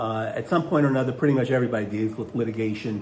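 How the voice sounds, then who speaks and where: Audible room echo surrounds a man's somewhat breathy voice, which has ordinary pitch variation. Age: 60s. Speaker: attorney. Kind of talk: casual video monologue. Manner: halting, many filler words.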